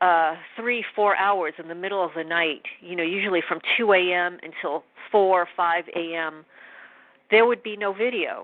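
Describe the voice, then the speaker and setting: A woman with an American accent has an ordinary speaking voice, a fairly low pitch, fairly even intonation and a moderate pace. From New York. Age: 50s. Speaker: interviewee. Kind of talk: testimony.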